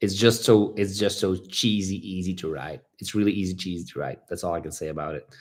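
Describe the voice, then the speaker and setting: Recorded very cleanly with a silent background, a man in a Flemish accent speaks with a very deep, low pitch at a fairly quick pace. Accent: Belgian (Flemish) English. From Belgium. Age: 30s. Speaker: motorcycle vlogger. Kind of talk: livestream Q&A chat. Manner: fast; animated, talkative.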